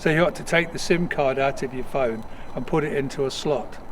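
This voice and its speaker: A man with a British accent speaks at a fairly high pitch and a moderate pace, with ordinary pitch variation. Noticeable background noise sits behind him. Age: 70s. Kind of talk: interview answer. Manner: measured, hesitant.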